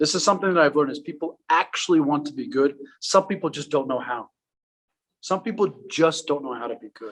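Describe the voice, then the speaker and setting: This man has a fairly high pitch and ordinary pitch variation. He talks at a fairly quick pace with big swings in loudness. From Afghanistan, raised in US from 1980s. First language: Farsi. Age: 30s. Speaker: public speaker. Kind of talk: public talk. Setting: art gallery with audience.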